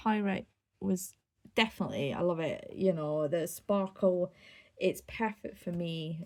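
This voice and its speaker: A woman with a Scottish accent speaks at a fairly low pitch. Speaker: crafter and vlogger. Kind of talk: casual show-and-tell. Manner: halting.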